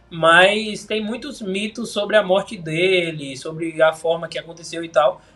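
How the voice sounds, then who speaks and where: A man with a high voice talks at a moderate speed, his pitch varying in an ordinary way. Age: 20s. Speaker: film recommendation influencer. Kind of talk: casual chat.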